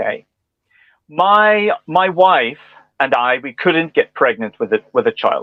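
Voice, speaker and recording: A man with a Northern Irish accent speaks at a high pitch, his voice making very wide pitch swings. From Northern Ireland. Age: 40s. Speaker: speech and language therapist. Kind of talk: interview answer.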